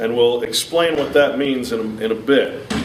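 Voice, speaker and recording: A man at a fairly slow pace with ordinary pitch variation, plus audible room echo and noticeable background noise. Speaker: public speaker. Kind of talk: lecture. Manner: loud.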